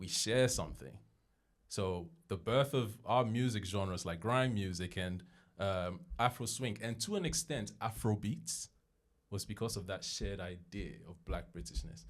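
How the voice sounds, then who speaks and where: Vocal fry runs through speech at a moderate pace with ordinary pitch variation, captured on a very clean recording against a silent background. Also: man, fairly low pitch for a man. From London, England. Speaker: podcaster. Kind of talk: podcast interview.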